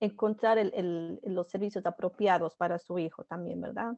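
The pace is moderate. Pitch variation is ordinary. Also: woman. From Ecuador. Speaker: family educator, podcast host. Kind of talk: interview. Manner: hesitant, many fillers.

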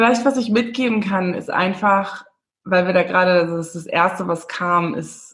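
Pitch varies in an ordinary way. The delivery sounds somewhat breathy. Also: woman. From Namibia (Windhoek, German-Namibian community). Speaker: former film actress, personal development coach. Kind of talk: casual interview chat.

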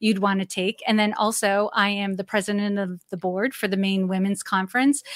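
With an American accent and an unremarkable speaking voice, a woman speaks at a moderate pace and medium pitch, recorded dry and close with no echo on a very clean recording with a silent background. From Massachusetts, New England. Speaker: executive coach. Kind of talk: interview.

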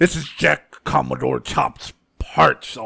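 A man uses a put-on character voice and speaks at a fairly slow pace.

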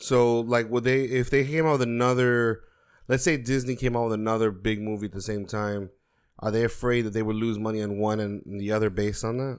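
A man speaks at a fairly quick pace in an ordinary speaking voice, medium in pitch with fairly even intonation, on a very clean recording with a silent background. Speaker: podcast co-host. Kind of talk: casual chat.

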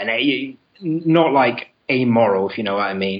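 Here is a man with a British accent and a medium-pitched voice. His intonation is lively. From England, London. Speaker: caller. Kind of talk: casual chat. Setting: call-in. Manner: loud.

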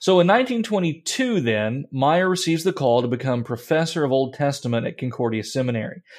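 A man talks at a fairly quick pace with a medium pitch and ordinary pitch variation. He has an ordinary speaking voice. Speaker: pastor and podcast host. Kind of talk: casual discussion.

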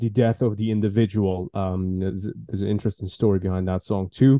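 Talking at a fairly quick pace, a man has an Iranian accent and a dark, mellow tone. The sound is dry and close with no echo, over a quiet background. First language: Farsi. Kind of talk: casual interview conversation.

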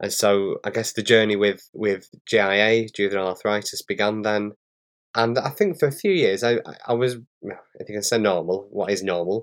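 A strong northern English accent with fairly even intonation. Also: man, fairly low pitch for a man, moderate pace. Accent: strong northern English (Bolton). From northern England. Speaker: patient co-host living with arthritis. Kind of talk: casual conversation. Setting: remote call.

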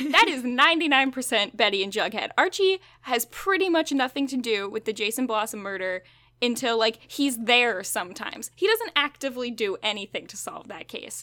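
High-pitched and fairly quick, a woman talks with lively intonation and big swings in loudness. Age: 20s. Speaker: podcast host. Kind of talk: casual chat. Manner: animated.

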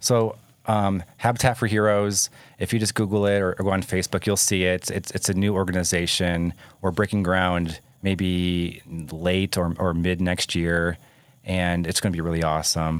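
In an American accent, a man speaks with a very deep, low pitch at a moderate pace. His intonation is fairly even, his loudness very even, and the recording very clean with a silent background. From Michigan. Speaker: Air Force veteran. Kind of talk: casual chat.

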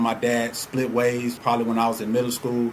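A man talks at a fairly quick pace with an American accent and a medium pitch. Noticeable background noise runs underneath. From Atlanta, Georgia (born Chicago). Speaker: entrepreneur and podcast host. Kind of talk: casual monologue.

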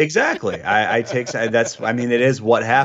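This man has an American accent. His voice sits at a medium pitch. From Michigan, US. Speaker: wrestling podcast co-host. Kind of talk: casual chat. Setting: remote call.

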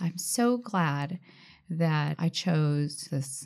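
Talking with an American accent, this woman uses a very deep, low pitch that varies in an ordinary way. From Washington State, Tacoma area. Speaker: birth mother. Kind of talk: casual chat. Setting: studio.

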